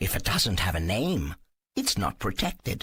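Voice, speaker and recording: Using a put-on character voice, a man speaks at a fairly low pitch. His pace is moderate. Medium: read story. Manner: warm, cryptic.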